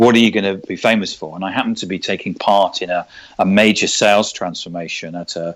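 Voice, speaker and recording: Speaking at a fairly quick pace with a London accent, a man uses a fairly low pitch and fairly even intonation, recorded very cleanly against a silent background. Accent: southern English (London). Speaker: sales trainer and author. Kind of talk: interview. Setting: podcast recording. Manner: halting, many repetitions.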